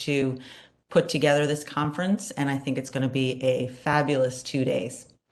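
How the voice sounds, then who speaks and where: Very deep, low-pitched woman's voice with a Newfoundland accent and audible room echo. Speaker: psychology professor and conference co-chair. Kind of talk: conference opening remarks.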